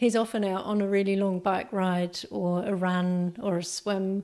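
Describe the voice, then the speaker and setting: A woman with a New Zealand accent at a medium pitch and a fairly slow pace. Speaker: podcast host, entrepreneur coach. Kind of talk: podcast monologue. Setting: home office. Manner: halting, with ums and ahs.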